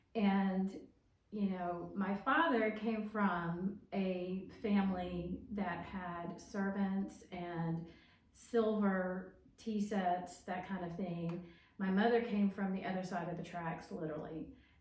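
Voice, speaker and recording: Amid noticeable background noise and audible room echo, a woman at medium pitch speaks very slowly with fairly even intonation. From Alabama, Tuscaloosa. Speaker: podcast host. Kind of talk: casual interview.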